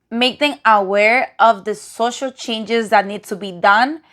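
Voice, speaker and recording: In a very clean recording with a silent background, a woman with a non-native accent speaks at a very slow pace and a fairly high pitch. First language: non-native English speaker. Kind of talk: casual commentary to camera.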